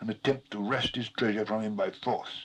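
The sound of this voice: The text is read in an unforced reading voice.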